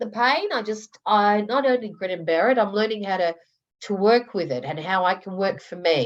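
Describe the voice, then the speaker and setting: A woman with an Australian accent speaks at medium pitch and a moderate pace, her intonation lively. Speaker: coaching group member. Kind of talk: group coaching call. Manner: loud.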